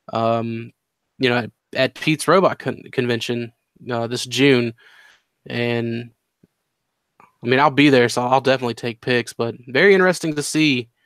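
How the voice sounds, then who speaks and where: A man at medium pitch keeps a moderate pace and ordinary pitch variation, leaving long, frequent pauses. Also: very clean recording, silent background. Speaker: toy collector show host. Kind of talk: casual chat. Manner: animated.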